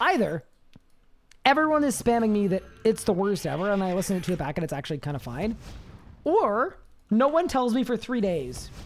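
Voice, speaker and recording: Very wide pitch swings at a fairly quick pace. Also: woman. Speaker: video game streamer. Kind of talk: live stream gameplay chat. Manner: casual, chatty.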